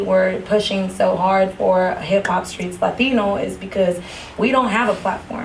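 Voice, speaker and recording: Amid noticeable background noise and audible room echo, a woman with a Spanish accent speaks at a medium pitch with ordinary pitch variation. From US-Mexico border town, West Coast. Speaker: podcast host. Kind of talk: casual interview.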